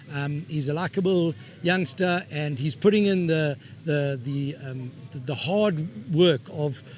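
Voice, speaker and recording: A fairly high-pitched man with ordinary pitch variation, music in the background. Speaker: auctioneer and horse seller, farmer, competition judge. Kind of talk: interview answer. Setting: interview, speaking to camera. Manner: hesitant, with frequent fillers.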